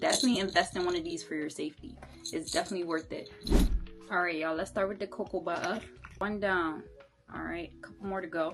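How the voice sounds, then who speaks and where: Very fast speech from a woman with long, frequent pauses, a fairly low pitch and ordinary pitch variation, over music in the background. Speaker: vlogger. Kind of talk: casual vlog tutorial. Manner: animated.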